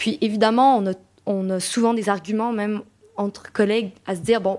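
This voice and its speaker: A woman with a Quebec accent, fairly high in pitch, at a moderate pace with fairly even intonation. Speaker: association co-director. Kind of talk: debate discussion. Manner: hesitant, many fillers and repetitions.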